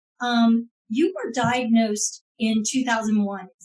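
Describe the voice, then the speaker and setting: This woman has a plain, everyday voice, fairly high in pitch, with fairly even intonation. She speaks at a fairly slow pace, and her loudness swings a lot. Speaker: podcast host. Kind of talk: podcast interview questions.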